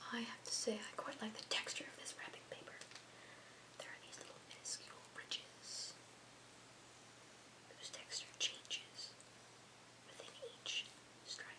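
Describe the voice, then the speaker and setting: A woman whispers at a moderate pace with big swings in loudness and long, frequent pauses, over noticeable background noise. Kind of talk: ASMR unboxing and gift wrapping video; casual talk to camera. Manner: soft-spoken.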